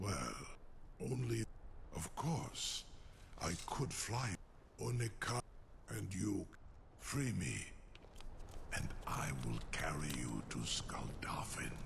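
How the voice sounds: A raspy, put-on character voice from a man, very slow, with long, frequent pauses and clear background noise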